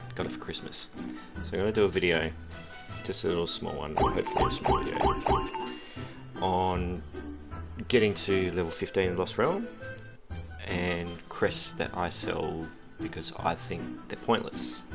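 Clear music plays in the background as the speaker moves at a moderate pace with long, frequent pauses. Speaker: mobile game player. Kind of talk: casual gameplay commentary. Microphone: headset.

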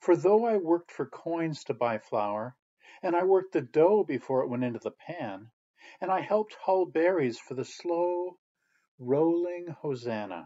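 Pitch swings very widely as a man with a fairly high voice speaks at a fairly slow pace. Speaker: poet. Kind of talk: poetry reading, spoken-word verse. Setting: virtual chapel service video. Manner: measured, contemplative.

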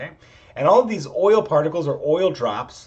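A man is speaking at a moderate speed. Little else can be heard, as the background is quiet. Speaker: chemistry instructor. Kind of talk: lecture. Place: home room. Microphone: webcam.

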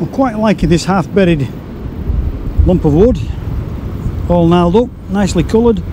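Noticeable background noise in a dry sound with no echo. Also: man, high pitch for a man, ordinary pitch variation, fairly quick pace. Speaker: photography vlogger. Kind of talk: casual vlog narration. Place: beach. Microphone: phone near.

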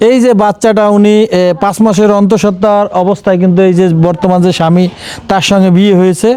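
This man has a high pitch and a dark, mellow tone. He keeps his intonation fairly even. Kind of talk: field report and interview.

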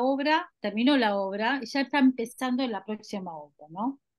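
Against a quiet background, a woman uses an ordinary speaking voice with lively intonation at a fairly slow pace. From Buenos Aires, Argentina; Argentina. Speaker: dance video festival director. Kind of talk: panel discussion. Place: home room. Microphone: microphone problems; video call.

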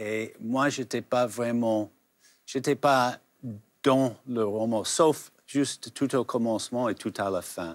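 Speaking at a very slow pace with an English accent, a man keeps his intonation fairly even against a quiet background. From United States. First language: English (speaking French). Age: 70s. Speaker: novelist; guest. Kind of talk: interview. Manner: halting. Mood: calm, reflective. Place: studio. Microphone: lapel.

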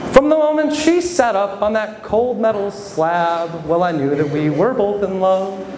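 A man with an American accent and a high pitch, very wide pitch swings, a fairly slow pace, audible room echo and light background noise. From Michigan (Flint); Michigan. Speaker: stand-up comedian and local newspaper reporter; stand-up comedian, local newspaper reporter. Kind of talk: stand-up. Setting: stage with audience at a brewery. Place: bar. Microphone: handheld.

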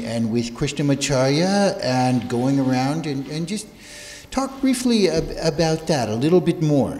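A man talking at a fairly slow pace. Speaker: yoga teacher. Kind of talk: interviewer addressing a group. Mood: polite, respectful. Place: hall. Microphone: handheld.

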